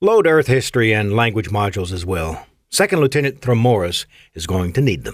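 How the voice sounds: The delivery is a natural reading voice with lively intonation. The background is quiet.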